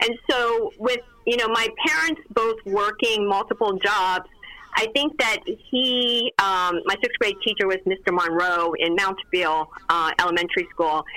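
Over noticeable background noise, a woman with an American accent speaks at a fairly slow pace, her fairly high voice showing lively intonation and very even loudness. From Lancaster, Pennsylvania (born abroad, Vietnamese family). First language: Vietnamese. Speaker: lawyer. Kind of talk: interview.

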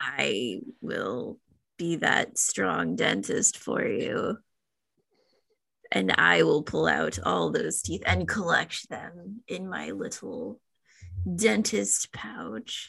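A put-on character voice, low-pitched and raspy, at a very slow pace. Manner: creepy.

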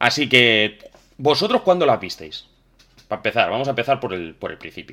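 Using a medium pitch with vocal fry and a bright, sharp tone, a man talks at a fairly quick pace with very wide pitch swings and big swings in loudness. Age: 30s. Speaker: podcast host. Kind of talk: casual chat. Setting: live stream.

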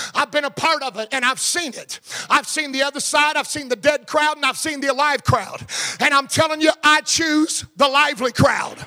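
A man with an American accent uses a raised, projected voice at an extremely high pitch and a moderate pace. The sound is dry and close with no echo, though the background noise is noticeable. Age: 50s. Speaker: pastor. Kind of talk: sermon. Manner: animated.

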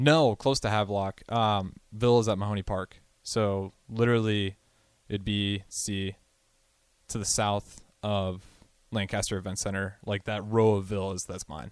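A man speaks at a fairly slow pace in an unremarkable speaking voice, fairly low in pitch with fairly even intonation. The recording is very clean, with a silent background. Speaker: radio co-host. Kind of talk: casual radio chat. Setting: studio.

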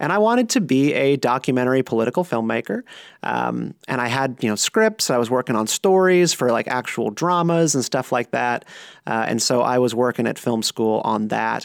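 A man with an American accent speaks at a moderate pace in an ordinary speaking voice, medium in pitch with ordinary pitch variation, the sound dry and close with no echo. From US South, North Carolina (Raleigh area). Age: 30s. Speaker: political podcaster. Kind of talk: casual chat.

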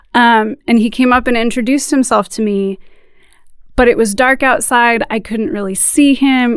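The woman's pitch is high. It varies in an ordinary way. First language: bilingual, English plus another language. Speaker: youth worker and missionary. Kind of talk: interview. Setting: studio.

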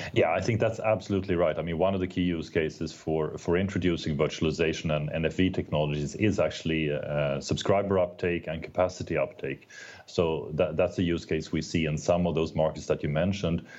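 A man with a very deep, low voice speaks at a fairly quick pace with hardly any pauses and fairly even intonation. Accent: Swedish. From Sweden. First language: Swedish. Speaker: telecom executive. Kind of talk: interview. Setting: remote call.

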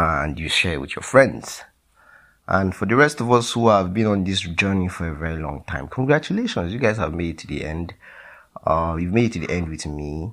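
Very deep and low in pitch, a man talks with lively intonation. His pace is moderate. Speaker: podcast host. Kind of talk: casual podcast recap. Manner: animated, laughs often.

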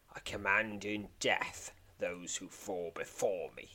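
A man puts on a growling character voice at a fairly low pitch. He talks at a fairly slow pace. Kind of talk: commanding. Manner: snarling, menacing.

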